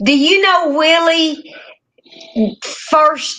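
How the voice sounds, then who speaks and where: A woman with a strong Southern US accent speaks in a raised, projected voice. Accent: strong country Southern. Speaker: catfishing angler. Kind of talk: casual chat.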